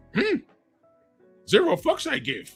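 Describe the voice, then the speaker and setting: A man does a croaky, put-on character voice at an extremely high pitch. Faint music plays in the background. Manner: inverted word order, cryptic.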